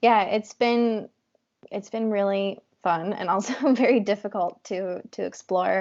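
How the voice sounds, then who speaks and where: Soft-spoken and at a fairly slow pace, a woman speaks at medium pitch with ordinary pitch variation. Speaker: wellness entrepreneur. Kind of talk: interview. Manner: halting.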